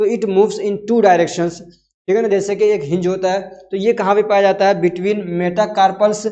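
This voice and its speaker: There is audible room echo around the voice. A man speaks with fairly even intonation. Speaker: teacher. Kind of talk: lecture. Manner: conversational with frequent fillers.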